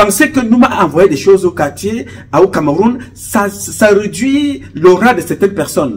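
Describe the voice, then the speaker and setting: Talking at a moderate pace, a man lets his pitch range very widely. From Cameroon, Centre region (Beti). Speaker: activist and charity founder; political commentator. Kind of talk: political monologue. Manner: impassioned. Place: home room. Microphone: phone near.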